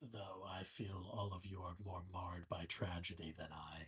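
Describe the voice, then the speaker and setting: A man speaks at a moderate pace in a put-on character voice that sits very deep and low. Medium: actual play. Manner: measured, solemn, philosophical.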